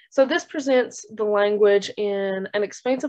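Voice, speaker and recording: A woman with an Appalachian accent talks at a fairly slow pace and a fairly high pitch. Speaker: graduate student. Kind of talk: research presentation. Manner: hesitant with fillers.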